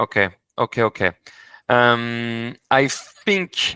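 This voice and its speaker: Heard dry and close with no echo in a very clean, silent recording, a man with a French accent speaks in a bright, sharp tone and fairly even intonation. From France. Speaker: corporate services advisor. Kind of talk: business meeting. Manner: halting.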